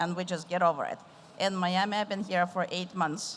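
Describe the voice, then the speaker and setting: A woman speaks with an Eastern European accent. Her pitch is medium. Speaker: tech executive moderating a panel. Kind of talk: panel discussion. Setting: stage with audience.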